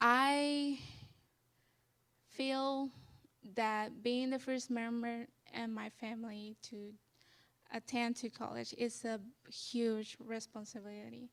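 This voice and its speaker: With long, frequent pauses, a woman talks at a very slow pace in a monotone, flat intonation. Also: fairly high pitch for a woman. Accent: Spanish. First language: Spanish. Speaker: student leader. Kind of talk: interview on stage. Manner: halting.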